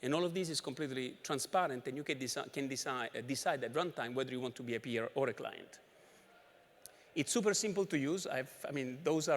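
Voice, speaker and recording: A man speaks very fast at a fairly high pitch. His pitch varies in an ordinary way. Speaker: conference presenter. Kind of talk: technical conference talk. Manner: rushed, barely pausing for breath.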